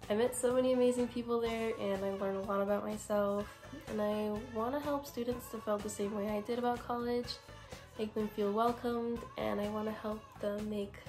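A woman talks quietly at a fairly quick pace, her pitch fairly high and her intonation monotone and flat. Music plays in the background. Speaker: college student. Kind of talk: application video talk to camera.

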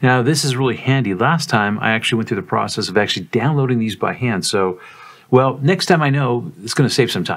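A man at medium pitch, ordinary pitch variation, and a fairly quick pace

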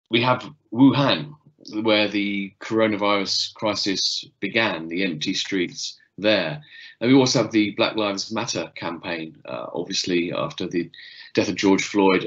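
A man speaks in a plain, everyday voice, fairly low in pitch, with ordinary pitch variation and a quiet background. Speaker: lecturer giving an online talk. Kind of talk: lecture. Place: home room. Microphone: webcam.

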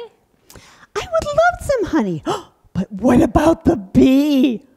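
In a cartoonish character voice, a woman speaks at a very slow pace and high pitch. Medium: puppet show. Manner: silly, dramatic, easily fooled.

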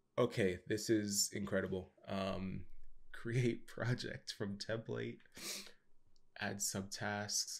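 A man speaks at a fairly low pitch with vocal fry and fairly even intonation. His delivery is very slow, broken by long, frequent pauses. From Canada. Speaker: YouTube software tutorial host. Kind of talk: screen-share tutorial. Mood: curious, impressed.

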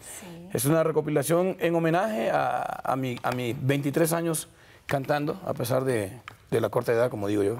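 Over light background noise, a man talks at a fairly high pitch with lively intonation. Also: moderate pace. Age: 30s. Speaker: vallenato singer; guest. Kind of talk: TV interview. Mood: relaxed, friendly. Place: studio. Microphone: lapel.

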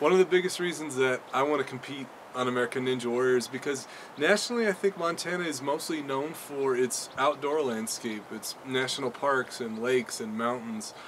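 A man, heard over noticeable background noise, moves at a fairly quick pace and varies his pitch in an ordinary way. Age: 20s. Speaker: rehabilitation specialist. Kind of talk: audition video monologue. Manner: casual, hesitant with fillers. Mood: friendly, earnest. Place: open country.

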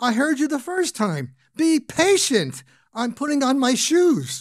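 A put-on character voice pitched high speaks at a fairly slow pace. The recording is very clean, with a silent background. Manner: impatient, matter-of-fact.

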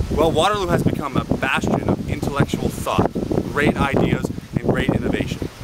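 A man talking at a fairly quick pace, with dry sound with no echo under loud background noise. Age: 20s. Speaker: student union president. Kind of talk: political campaign pitch to camera. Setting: outdoors. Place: open country. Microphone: phone near.

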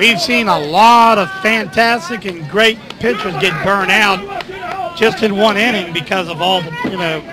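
A man with an American accent uses a raised, projected voice at a high pitch, with ordinary pitch variation. He talks fairly slowly with hardly any pauses, over noticeable background noise. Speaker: sports commentator. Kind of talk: live sports commentary. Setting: broadcast booth at a ballfield.

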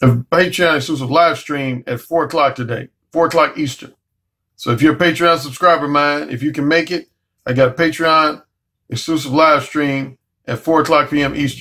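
A man speaks with a bright, sharp tone. His intonation is fairly even. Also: moderate pace. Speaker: dating coach. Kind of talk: casual vlog chat. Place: home room. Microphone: webcam.

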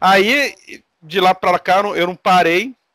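A man's bright, sharp tone comes through dry with no echo over a quiet background. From Brazil. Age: 40s. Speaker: RPG game master, content creator; podcast guest. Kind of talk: casual chat. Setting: online call. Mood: relaxed, friendly. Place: home room.

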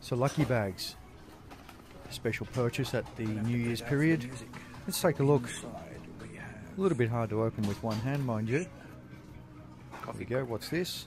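With clear music in the background, a man speaks in a dry sound with no echo, using ordinary pitch variation and long, frequent pauses. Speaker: travel vlogger. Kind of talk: casual vlog chat. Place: cafe. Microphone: phone near.

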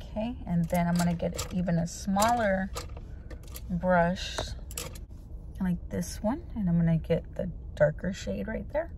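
At a fairly slow pace, a woman talks with long, frequent pauses, her sound dry with no echo over light background noise. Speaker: beauty vlogger. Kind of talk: casual vlog chat. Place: car. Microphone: phone near.

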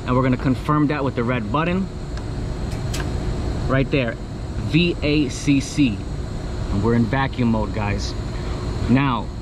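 Over clear background noise, a man at medium pitch talks at a fairly slow pace with ordinary pitch variation and long, frequent pauses.

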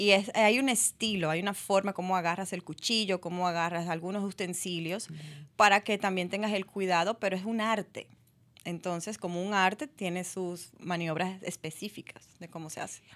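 Her intonation stays fairly even while her loudness swings widely, so this woman's voice rises and drops sharply in volume. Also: moderate pace. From Dominican Republic. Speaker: actress; interview guest, actress. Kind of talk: radio interview. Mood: calm, reflective. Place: studio. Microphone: studio mic.

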